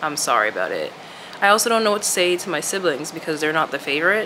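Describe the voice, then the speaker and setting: A fairly low female voice at a fairly quick pace with ordinary pitch variation and noticeable background noise. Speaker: vlogger. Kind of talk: casual vlog chat.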